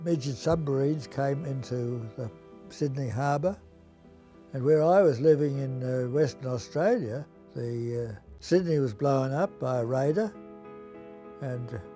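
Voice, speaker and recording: Lively intonation carries the fairly slow speech, with music playing in the background. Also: man. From Melbourne, Australia. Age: 80s+. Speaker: Jesuit priest and school teacher. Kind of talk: interview answer, reminiscence.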